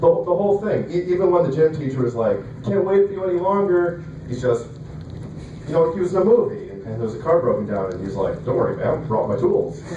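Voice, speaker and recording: Noticeable background noise accompanies speech delivered at a very fast pace. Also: man. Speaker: stand-up comedian. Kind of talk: stand-up comedy set. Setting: open mic venue. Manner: somewhat bland, fast delivery.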